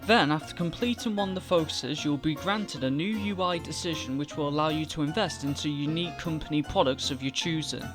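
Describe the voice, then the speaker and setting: Over music in the background, the speech runs at a fairly quick pace. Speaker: gaming guide commentator. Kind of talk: game tutorial voice-over. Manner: not very energetic.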